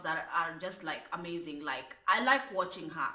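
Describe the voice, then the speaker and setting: A woman with a strong Kenyan accent speaks at a fairly slow pace. Her voice carries audible room echo and noticeable background noise. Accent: strong African (Kenyan Luo). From Kenya (Luo). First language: Luo. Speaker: YouTube commentary vlogger. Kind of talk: casual vlog commentary. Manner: careful full pronunciation; animated, with stammering repetitions.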